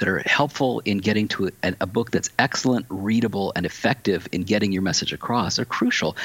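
In a General American accent, a man with a normal speaking voice talks at a fairly quick pace, his fairly low pitch showing ordinary variation. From US Pacific Northwest, Tacoma, Washington. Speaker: author and church history professor. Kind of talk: interview.

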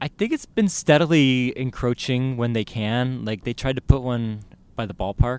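A man's medium-pitched voice with a Californian accent, at a moderate pace with ordinary pitch variation, dry and close with no echo, in a very clean recording with a silent background. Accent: Californian American English. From San Francisco Bay Area, California (South San Francisco). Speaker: newspaper food editor. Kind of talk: casual chat.

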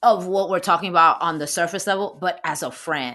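Against a quiet background, a woman with a New York accent speaks in a bright, sharp, fairly low voice with lively intonation. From New York, the Bronx. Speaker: actress and minister. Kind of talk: casual chat. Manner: animated.

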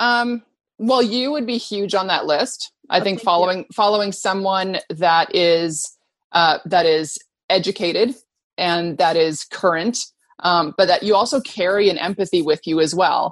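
This woman has an unremarkable speaking voice with a Canadian accent. She talks at a moderate pace and medium pitch, with ordinary pitch variation. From northwest Canada. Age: 50s. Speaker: fitness trainer and model. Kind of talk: interview conversation.

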